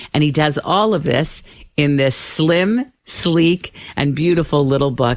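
Very deep and low in pitch, a woman speaks fairly slowly with very even loudness and ordinary pitch variation. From Canada. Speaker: radio host. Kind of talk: radio interview.

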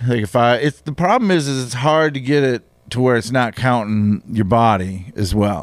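With an unremarkable speaking voice at a medium pitch, a man talks at a moderate pace with lively intonation and hardly any pauses. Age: 50s. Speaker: comedian. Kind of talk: casual chat.

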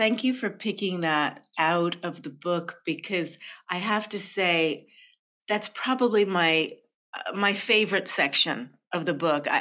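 A woman speaks at a fairly slow pace with ordinary pitch variation and a bright, sharp tone. The recording is very clean with a silent background. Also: medium pitch for a woman. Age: 60s. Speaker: poet and spoken word artist. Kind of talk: interview.

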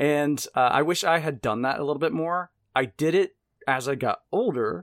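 A normal speaking voice from a man with an American accent, fairly high in pitch and lively in intonation, in a very clean recording with a silent background and a dry, close sound without echo. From US South, Mississippi. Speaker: horror podcast host and writer. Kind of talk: casual chat.

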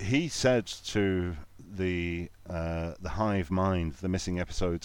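The speaker has a Lancashire accent and ordinary pitch variation. The recording is very clean, with a silent background. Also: man. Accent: northern English (Lancashire). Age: 40s. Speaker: podcast host, guest. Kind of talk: casual chat.

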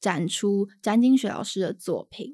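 A woman with a dark, mellow tone speaks at a fairly slow pace with lively intonation. The sound is dry and close with no echo, in a very clean recording with a silent background. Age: 20s. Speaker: art curator. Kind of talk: casual chat.

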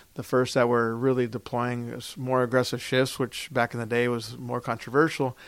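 The man keeps a moderate pace. His pitch is medium. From Florida, Orlando (born in Puerto Rico). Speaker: baseball executive. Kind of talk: interview. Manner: halting, many fillers.

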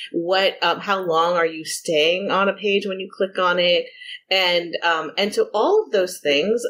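A woman speaks in a normal speaking voice at medium pitch. Her pace is fairly slow and her intonation fairly even. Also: very clean recording, silent background. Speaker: journalist and author. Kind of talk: interview.

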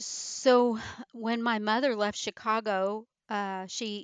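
A woman speaks with a slight Midwestern accent. The sound is dry and close with no echo, against a quiet background. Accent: slight Midwestern drawl. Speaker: retired military guest. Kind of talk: casual interview chat.

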